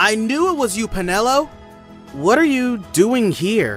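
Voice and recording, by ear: This put-on character voice has a fairly bright tone and big pitch swings. It moves at a fairly slow pace, with faint music in the background. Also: man, high pitch for a man.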